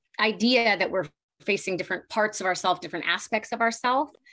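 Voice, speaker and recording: Enthusiastic in tone, a woman speaks at medium pitch with ordinary pitch variation. Her tone is bright and sharp against a quiet background. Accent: Pittsburgh. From US Northeast (Pennsylvania). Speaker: podcast host and professional cuddler. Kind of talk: casual panel discussion. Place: home room. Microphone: video call.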